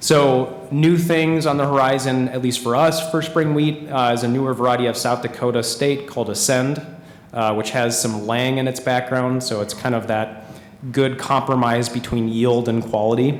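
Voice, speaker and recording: A man's medium-pitched voice at a moderate pace with fairly even intonation, amid noticeable background noise and audible room echo. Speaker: organic agronomist at a seed company. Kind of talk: conference presentation. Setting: conference room with live audience.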